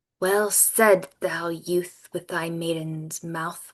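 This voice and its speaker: Very slowly, a put-on character voice speaks at a middle pitch. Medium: read story. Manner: archaic, solemn.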